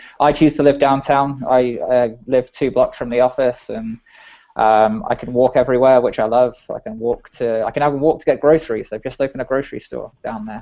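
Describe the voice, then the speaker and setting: A man speaks with an English accent. His pitch is medium. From England. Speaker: software engineer. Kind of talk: casual chat.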